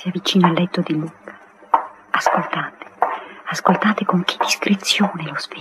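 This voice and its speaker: A woman whispers at a moderate pace. She leaves long, frequent pauses. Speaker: radio play narrator. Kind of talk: 1959 radio drama, narrator reading stage directions aloud. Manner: measured, lyrical, warmly evocative storyteller pace. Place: studio. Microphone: old recording.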